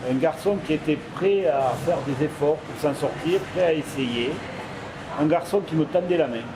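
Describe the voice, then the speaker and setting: With noticeable background noise behind him, a man speaks at a fairly slow pace with ordinary pitch variation. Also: fairly high pitch for a man. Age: 60s. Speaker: supermarket manager and mentor. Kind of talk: interview testimony.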